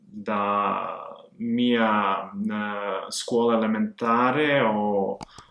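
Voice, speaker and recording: A man's medium-pitched, monotone voice at a very slow pace, flat in intonation, over noticeable background noise. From Montenegro, Podgorica. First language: Serbian/Montenegrin (speaking Italian). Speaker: language learner vlogger. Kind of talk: personal story monologue. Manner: halting, many filler sounds.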